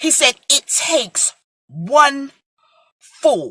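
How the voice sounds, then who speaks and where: A woman's raised, projected voice, high-pitched, with an American accent, in a dry, close sound with no echo. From New York (Brooklyn). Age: 40s. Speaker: preacher. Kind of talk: sermon.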